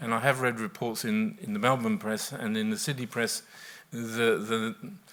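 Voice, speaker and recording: Medium-pitched male speech with an Australian accent, fairly even intonation and a moderate pace, on a very clean recording with a silent background. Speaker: professor. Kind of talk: panel discussion. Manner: soft-spoken.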